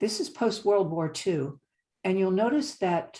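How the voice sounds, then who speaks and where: A woman, somewhat breathy, dark and mellow in tone, at medium pitch, with lively intonation and a fairly slow pace, in a very clean recording with a silent background. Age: 70s. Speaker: climate presenter. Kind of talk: slide presentation lecture.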